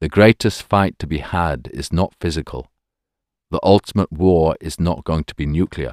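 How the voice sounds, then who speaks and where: A man speaks with a very deep, low pitch, ordinary pitch variation and vocal fry in a solemn tone. His moderate-paced delivery has a dry, close sound with no echo. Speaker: audiobook narrator and priest-author. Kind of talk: audiobook reading of a religious text, devout and reflective. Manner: measured, earnest, solemn pacing; rising emphasis and exclamation on key lines.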